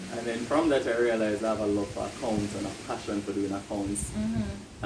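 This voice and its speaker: Fairly quick, low-pitched speech from a man with hardly any pauses, over noticeable background noise. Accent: Jamaican. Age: 20s. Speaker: chartered accountant, financial manager. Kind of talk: interview answer. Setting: outdoors, windy.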